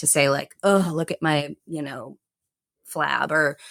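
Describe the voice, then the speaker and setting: A woman's very deep, low voice with fairly even intonation, dry and close with no echo. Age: 40s. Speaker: yoga and fitness teacher. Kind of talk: podcast interview. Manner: halting, many repeated starts.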